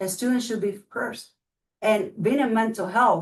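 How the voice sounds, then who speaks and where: A woman with a Spanish accent speaks at a moderate pace. Her pitch is fairly high, with ordinary pitch variation. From Cuba. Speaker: school board candidate. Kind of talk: candidate interview.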